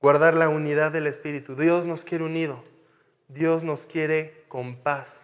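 A man's fairly high, monotone, flat voice amid audible room echo. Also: fairly slow pace. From France (Paris). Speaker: missionary pastor. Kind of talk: sermon.

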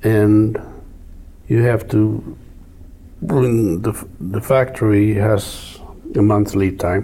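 Over noticeable background noise, a man with a non-native accent speaks at a fairly low pitch. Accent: noticeable foreign. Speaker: farm equipment company executive. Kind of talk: casual interview.

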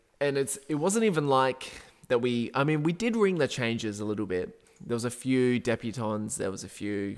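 Lively intonation fills the speech of a man with a medium pitch, talking at a moderate pace. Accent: Australian. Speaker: football podcast co-host. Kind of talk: casual chat.

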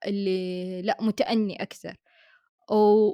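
On a very clean recording with total silence behind her, the woman talks very slowly. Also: dry, close sound with no echo. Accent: Hejazi. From Saudi Arabia, Hejaz (Mecca/Jeddah). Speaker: podcast co-host. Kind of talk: casual chat.

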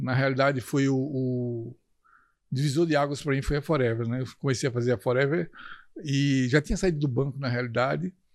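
In a normal speaking voice, a man talks at a fairly quick pace with medium pitch and fairly even intonation. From Brazil, Recife (Pernambuco). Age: 60s. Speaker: network marketing leader. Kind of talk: interview.

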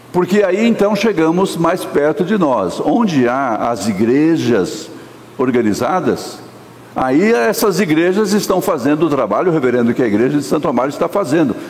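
A man's fairly high voice with very wide pitch swings, audible room echo and noticeable background noise. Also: moderate pace, very even loudness. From Brazil, Minas Gerais (born), raised São Paulo area. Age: old. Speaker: pastor. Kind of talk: sermon. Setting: church.

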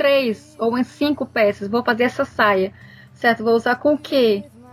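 At a fairly slow pace and with ordinary pitch variation, the voice comes through over noticeable background noise. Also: woman. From Brazil, Fortaleza (Ceará). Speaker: sewing teacher and youtuber. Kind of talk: casual chat.

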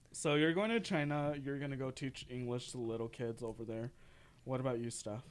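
A man speaks at a fairly quick pace in a normal speaking voice, with a medium pitch and ordinary pitch variation. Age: 20s. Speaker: college radio podcast co-host. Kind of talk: casual chat. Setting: college radio studio.

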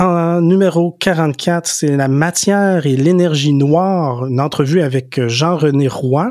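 Speaking at a very slow pace with hardly any pauses, a man uses a fairly high pitch, ordinary pitch variation, and very even loudness. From Quebec, Rivière-du-Loup and Montreal. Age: 40s. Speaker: podcast co-host. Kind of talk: casual chat. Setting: remote recording over Zoom.

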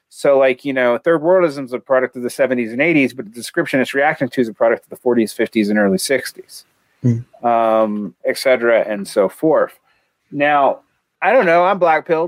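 Lively intonation marks a man speaking at a moderate pace and fairly high pitch, with a slight Southern US accent, recorded dry and close with no echo. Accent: southern American, slight. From US South. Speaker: political theory podcast co-host. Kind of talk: casual discussion and reading aloud of a text.

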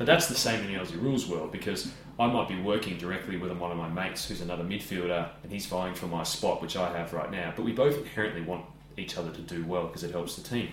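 Against noticeable background noise, a man with an Australian accent and a very deep, low voice speaks at a very fast pace with ordinary pitch variation. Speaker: podcast host, former footballer. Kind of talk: casual interview. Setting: host's home, in person.

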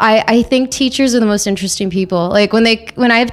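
With a slight Canadian accent, a woman speaks at a very fast pace. Her intonation stays fairly even. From Toronto, Canada. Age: 20s. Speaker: record store worker and music and film reporter. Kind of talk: casual interview chat. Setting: podcast recorded and streamed live. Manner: chatty.

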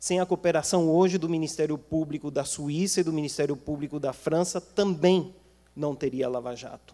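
At a moderate pace, a man talks in a dark, mellow tone with fairly even intonation. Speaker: international relations professor. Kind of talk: panel talk. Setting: auditorium with audience.

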